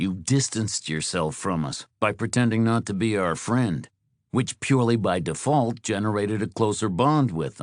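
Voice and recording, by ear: Someone reads aloud in a natural voice against a quiet background.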